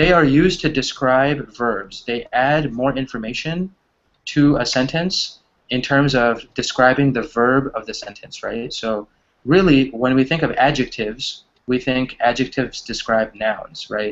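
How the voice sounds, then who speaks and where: A man with a normal speaking voice talks fairly slowly at a medium pitch with ordinary pitch variation. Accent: American. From US Midwest, Wisconsin. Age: 20s. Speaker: online English teacher. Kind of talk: online English class.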